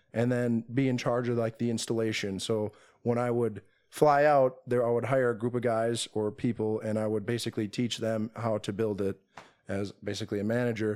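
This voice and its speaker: An unremarkable speaking voice with an American accent moves at a moderate pace with fairly even intonation, on a very clean recording with a silent background. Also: man. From Minnesota, Twin Cities suburbs. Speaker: day trader. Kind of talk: casual chat. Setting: in person.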